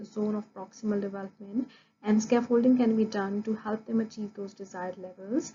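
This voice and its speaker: Somewhat breathy and fairly high in pitch, a woman with a Punjabi accent speaks at a moderate pace with fairly even intonation. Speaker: early childhood education student. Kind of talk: recorded class presentation. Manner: formal, with hesitations.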